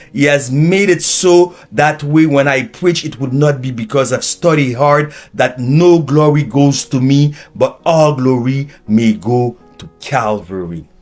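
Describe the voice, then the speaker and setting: A speaker with a Haitian accent talks with hardly any pauses. The pitch varies in an ordinary way. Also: man, fairly high pitch for a man. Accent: Haitian Creole-accented English. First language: Haitian Creole. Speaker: preacher and teacher. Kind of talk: sermon.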